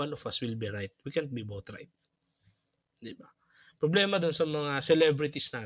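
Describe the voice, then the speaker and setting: A man at a moderate pace with lively intonation, big swings in loudness and long, frequent pauses, in a very clean recording with a silent background. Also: fairly high pitch for a man. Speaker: podcast co-host, religious brother or priest. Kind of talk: casual chat.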